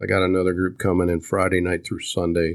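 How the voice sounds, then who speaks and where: The recording is very clean with a silent background. A man in an American accent talks at a fairly quick pace with a very deep, low pitch. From Kansas. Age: 60s. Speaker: veterans ministry leader. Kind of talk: casual interview. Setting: farmhouse.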